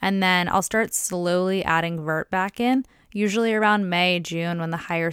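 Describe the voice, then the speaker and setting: Using a normal speaking voice, a woman with a fairly low pitch talks at a fairly slow pace with ordinary pitch variation. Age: 20s. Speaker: podcast host, personal trainer and sports nutritionist. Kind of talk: solo podcast monologue, educational. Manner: upbeat, casual.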